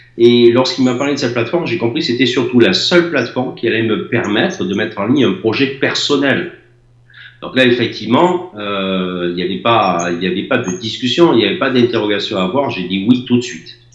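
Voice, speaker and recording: Audible room echo surrounds a man talking at a fairly quick pace. His pitch is medium and his intonation lively. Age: 60s. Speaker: former building contractor. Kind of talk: testimony.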